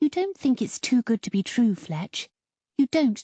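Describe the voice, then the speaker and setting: In a put-on character voice, a female-sounding speaker talks at a high pitch and a moderate pace. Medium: read story.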